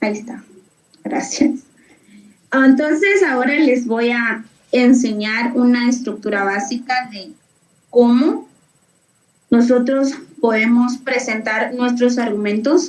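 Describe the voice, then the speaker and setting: Her pitch high and its variation ordinary, a woman talks very slowly with long, frequent pauses and big swings in loudness. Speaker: debate workshop instructor. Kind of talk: online workshop lecture. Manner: halting with fillers.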